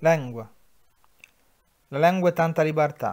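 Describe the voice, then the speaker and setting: A man with an Umbrian accent speaks at a moderate pace in a fairly high pitch. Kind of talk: poetry reading.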